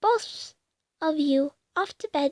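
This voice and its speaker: A woman speaks softly in a put-on character voice pitched high. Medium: read story. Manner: soft, soothing, motherly.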